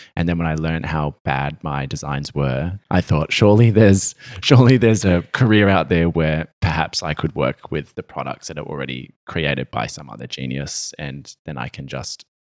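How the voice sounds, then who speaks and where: A man with an Australian accent, very deep and low in pitch, with vocal fry, ordinary pitch variation and a moderate pace, in a dry, close sound with no echo. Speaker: fashion stylist. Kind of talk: casual interview chat.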